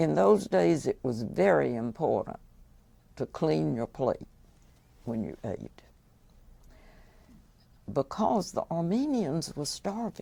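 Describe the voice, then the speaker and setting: A woman speaks with a Georgia accent. Her pace is very slow. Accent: Southern American (Georgia). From Buckhead, Atlanta, Georgia. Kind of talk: oral history interview answer.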